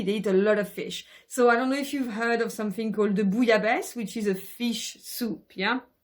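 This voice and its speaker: Speaking in a French accent, a woman sounds animated, with fairly high pitch, ordinary pitch variation and a moderate pace. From France (Brittany region). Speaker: travel vlogger. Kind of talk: casual monologue to camera. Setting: at home in bedroom. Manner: animated, many fillers.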